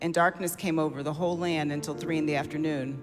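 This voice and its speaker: A man is speaking. Music plays in the background. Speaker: senior pastor. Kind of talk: formal scripture reading.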